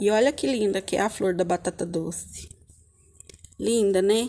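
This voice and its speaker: Her tone is dark and mellow, with vocal fry. The woman speaks at a fairly slow pace with ordinary pitch variation. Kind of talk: casual vlog chat. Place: garden. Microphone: phone near.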